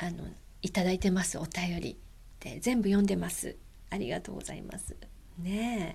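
A woman speaks at a moderate pace in a medium pitch, her dark, mellow tone relaxed and gentle with some vocal fry. Her pitch varies in an ordinary way, with big swings in loudness and long, frequent pauses. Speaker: podcast host. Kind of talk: casual monologue. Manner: frequent fillers; relaxed, gentle.

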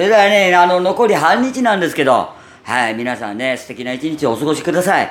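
A man with a Kansai accent, fairly high in pitch, with very wide pitch swings at a fairly quick pace. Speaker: podcaster. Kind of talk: casual solo talk. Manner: natural, unaffected voice.

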